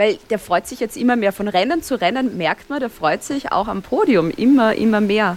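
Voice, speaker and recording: A woman's fairly high voice at a moderate pace, with lively intonation and hardly any pauses. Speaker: Formula 1 podcaster. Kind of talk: casual chat. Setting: video call.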